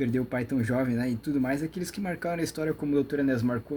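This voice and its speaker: Keeping ordinary pitch variation, a man speaks very fast. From Brazil. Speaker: YouTube lecturer on metaphysics. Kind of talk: monologue lecture. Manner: rambling, with many fillers.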